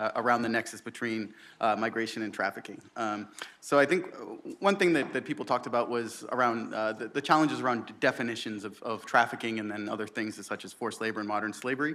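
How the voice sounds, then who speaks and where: Against noticeable background noise, the speech moves very fast, with ordinary pitch variation. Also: man, medium pitch for a man. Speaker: research program director. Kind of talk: conference presentation.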